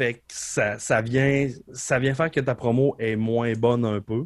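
A man with an unremarkable speaking voice talks at a medium pitch with ordinary pitch variation. The sound is dry and close with no echo, on a very clean recording with a silent background. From Quebec, Beauce region. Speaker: professional wrestler and wrestling coach. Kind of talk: casual interview conversation.

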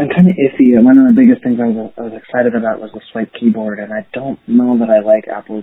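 A medium-pitched man talking at a very fast pace. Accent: American. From Pennsylvania. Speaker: listener voicemail caller. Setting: phone voicemail.

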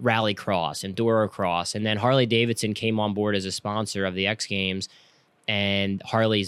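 A man with a plain, everyday voice, fairly low pitch, fairly even intonation and a fairly quick pace, recorded very cleanly with a silent background and a dry, close sound with no echo. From Pennsylvania, outside Philadelphia. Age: 30s. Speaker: professional flat track racer. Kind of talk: casual interview chat.

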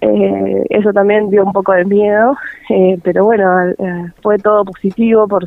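A woman talks at a fairly slow pace with noticeable noise in the background. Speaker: mother of a child with achondroplasia. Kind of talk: radio interview.

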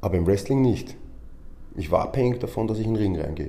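Recorded with audible room echo, a man with a fairly low pitch speaks in a somewhat breathy voice with a dark, mellow tone and ordinary pitch variation. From Austria, Vienna. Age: 40s. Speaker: professional wrestler and gym owner. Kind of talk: interview. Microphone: microphone problem, switching mics.

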